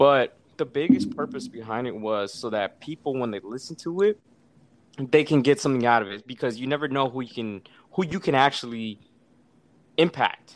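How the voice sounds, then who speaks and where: A man with an unremarkable speaking voice, medium pitch and lively intonation talks at a moderate pace, with big swings in loudness. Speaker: Marine veteran, podcaster. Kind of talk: casual interview chat.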